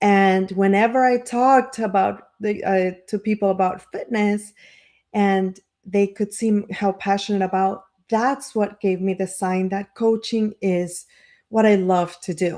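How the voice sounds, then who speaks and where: On a very clean recording with a silent background, a woman with a dark, mellow tone speaks at medium pitch and a fairly slow pace, her intonation fairly even. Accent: non-native. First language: not English. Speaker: life coach and marketer. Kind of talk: motivational live stream talk. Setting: live stream. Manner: halting, many fillers and restarts.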